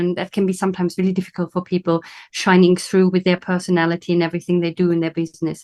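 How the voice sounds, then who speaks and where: A woman with a German accent and a fairly low pitch is heard in a dry, close sound with no echo against a quiet background. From Germany. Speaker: business coach. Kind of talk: interview.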